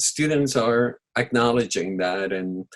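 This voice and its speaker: This man speaks with a Spanish accent, his pitch medium and his intonation varying in an ordinary way. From Panama. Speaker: film festival director and teacher. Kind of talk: interview. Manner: halting with many fillers.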